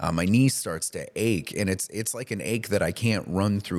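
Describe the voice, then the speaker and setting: A man with an unremarkable speaking voice talks at a fairly quick pace in a fairly low pitch. His pitch varies in an ordinary way on a very clean recording with a silent background. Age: 30s. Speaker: podcast co-host. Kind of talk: casual chat.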